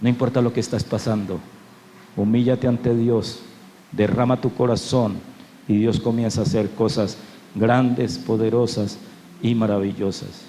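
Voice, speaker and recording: At a fairly slow pace with long, frequent pauses, a man speaks at medium pitch with fairly even intonation and very even loudness. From Colombia, Cali. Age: 60s. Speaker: pastor. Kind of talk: sermon.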